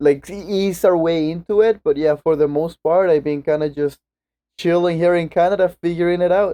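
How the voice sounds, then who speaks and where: Speaking at a fairly quick pace with a Venezuelan accent, a man uses a high pitch and a dark, mellow tone, his intonation fairly even and the sound dry and close with no echo. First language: Spanish. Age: 20s. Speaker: podcast guest. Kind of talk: casual chat.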